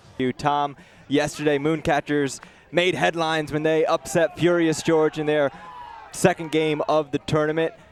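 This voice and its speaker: Noticeable background noise sits behind a man with a fairly high voice. He talks at a moderate pace with monotone, flat intonation. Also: dry, close sound with no echo. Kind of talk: sports play-by-play commentary.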